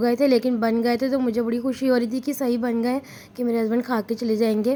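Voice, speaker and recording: A woman speaks at a fairly high pitch with a monotone, flat intonation. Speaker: family vlogger. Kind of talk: vlog voice-over narration.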